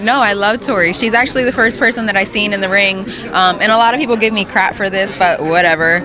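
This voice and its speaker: Over noticeable background noise, a woman speaks very fast in a medium pitch with ordinary pitch variation and very even loudness. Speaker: pro wrestler, broadcaster and model. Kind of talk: interview answer.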